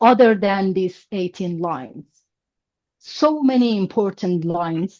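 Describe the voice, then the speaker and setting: A woman with a medium pitch and ordinary pitch variation speaks very slowly, the sound dry and close with no echo. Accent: Persian. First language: Persian. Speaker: language teacher. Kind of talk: online class lecture. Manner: halting, many fillers.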